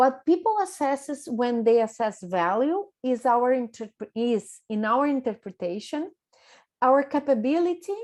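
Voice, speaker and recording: In a Brazilian Portuguese accent, a woman speaks fairly slowly in a high voice with lively intonation against a quiet background. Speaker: business coach. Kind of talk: workshop presentation. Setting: video conference.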